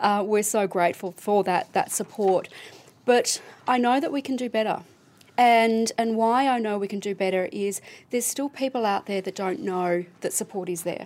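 A woman with an Australian accent talks at a moderate pace, her fairly high pitch showing ordinary variation. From Melbourne, Australia. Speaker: charity CEO. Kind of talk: casual chat. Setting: studio.

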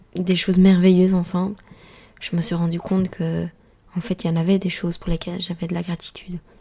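A woman with a dark, mellow tone and a somewhat breathy voice speaks at a fairly quick pace in a monotone, flat intonation, leaving long, frequent pauses. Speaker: podcast host and life coach. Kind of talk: solo podcast monologue. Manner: calm, composed; halting.

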